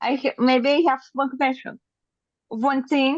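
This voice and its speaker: This woman has a high-pitched voice and keeps a moderate pace. The sound is dry and close, with no echo. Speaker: participant asking question. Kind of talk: casual question on live call. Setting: video call via phone. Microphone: breaking up, poor sound quality.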